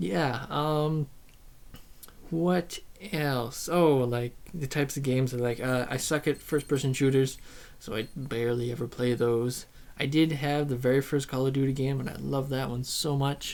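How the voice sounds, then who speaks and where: A man speaks quietly at a moderate pace and medium pitch. His intonation is fairly even. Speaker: YouTuber. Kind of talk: casual vlog monologue. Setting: alone in front of a camera. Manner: hesitant, many ums and ahs; shy, quiet.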